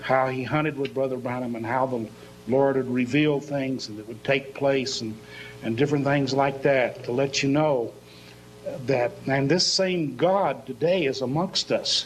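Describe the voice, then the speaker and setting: A man speaks at a moderate pace and medium pitch with fairly even intonation, his voice carrying audible room echo over music in the background. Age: 60s. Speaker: pastor. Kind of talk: sermon.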